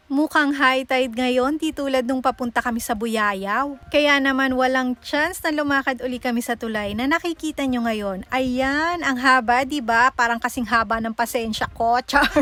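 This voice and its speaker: A woman speaks in a raised, projected voice with a high pitch and a bright, sharp, animated tone. Her pace is moderate, with hardly any pauses. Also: ordinary pitch variation. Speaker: travel vlogger. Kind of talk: vlog narration. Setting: outdoors.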